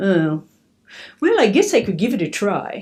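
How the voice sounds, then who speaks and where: A female-sounding voice does a put-on character voice at a medium pitch and moderate pace. The recording is very clean, with a silent background. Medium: read story. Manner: amused, gloating.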